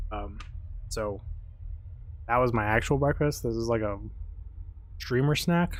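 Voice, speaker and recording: The speaker is soft-spoken and mumbles, leaving long, frequent pauses. An echo from the room can be heard. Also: man, medium pitch for a man, fairly slow pace. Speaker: gaming streamer. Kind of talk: live stream gameplay commentary. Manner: mumbling. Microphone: mic set to amplify quiet speech and compress loud.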